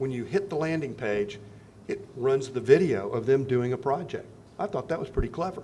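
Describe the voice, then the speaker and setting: Against noticeable background noise, a man with an American accent talks at a moderate pace in a fairly high voice with lively intonation. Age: 70s. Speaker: Rotary district governor. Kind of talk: club speech. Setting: club meeting.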